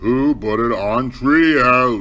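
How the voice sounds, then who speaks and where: This is a gruff, put-on character voice. Light background noise sits behind it. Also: man. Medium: read story. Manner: grumpy, gruff.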